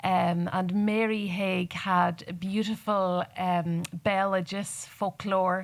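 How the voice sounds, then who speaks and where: Very slowly and with hardly any pauses, a woman with a Donegal accent speaks at a medium pitch in a monotone, flat intonation. Her loudness stays very even, and the recording is very clean with a silent background. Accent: Donegal Irish. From Ireland, northwest Donegal Gaeltacht. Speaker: poet. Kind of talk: panel discussion. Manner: halting.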